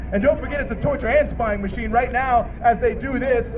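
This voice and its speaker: A man speaks in an angry tone with crowd noise in the background. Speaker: rally speaker. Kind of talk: rally speech. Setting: outdoors at a protest rally. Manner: impassioned, angry, declamatory; rhetorical, repetitive, emphatic. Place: street.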